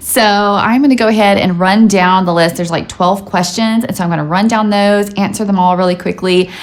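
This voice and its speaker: Noticeable background noise sits behind a woman talking in an animated tone at a fairly quick pace. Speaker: YouTuber, stay-at-home mom. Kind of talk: casual vlog chat.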